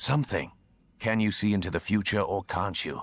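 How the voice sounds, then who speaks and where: In a put-on character voice, a man sounds raspy with a fairly low pitch. His pace is fairly quick. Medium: video game. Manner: blunt, direct.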